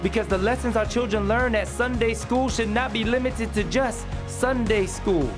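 Over background music, the speaker keeps a moderate pace with hardly any pauses. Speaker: spoken word poet; parent. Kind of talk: spoken word poetry performance.

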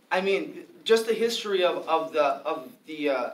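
A man with an American accent speaks at a high pitch and a moderate pace, his intonation lively. Light background noise and audible room echo are present. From Milwaukee, Wisconsin; Wisconsin. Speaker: free speech and gun rights activist; debater. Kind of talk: formal debate. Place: classroom. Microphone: camera far.

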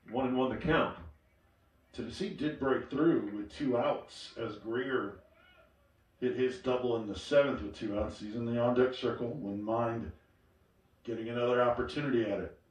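With noticeable background noise behind him, a man talks at medium pitch and a moderate pace, using ordinary pitch variation and long, frequent pauses. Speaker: sports commentator. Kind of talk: live baseball play-by-play commentary. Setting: streamed broadcast. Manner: fluent, steady, descriptive, building tension at key pitches.

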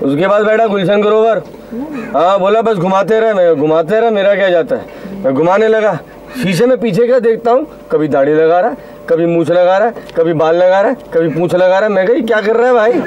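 Over light background noise, a man talks at a high pitch with ordinary pitch variation. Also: moderate pace. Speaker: comic taxi driver. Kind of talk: comic storytelling monologue. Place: car.

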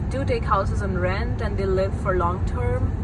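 A woman's voice over loud background noise, with a dry sound and no echo. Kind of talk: casual travel vlog chat. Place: car. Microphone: phone near.

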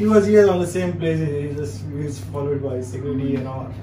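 A man keeps a moderate pace while noticeable background noise carries on behind him. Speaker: store staff guide. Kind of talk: casual guided tour explanation. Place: shop.

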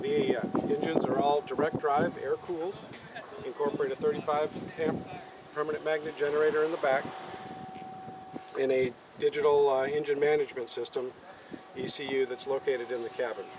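Over noticeable background noise, a man talks at a fairly quick pace with fairly even intonation. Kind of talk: interview answer. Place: open country.

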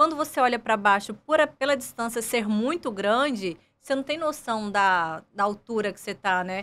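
At a moderate pace with hardly any pauses, a woman talks in a fairly high pitch, her bright, sharp tone carrying lively intonation. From Brazil, Goiás (Goiânia). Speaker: airline pilot; guest. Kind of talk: interview. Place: studio. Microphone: studio mic.

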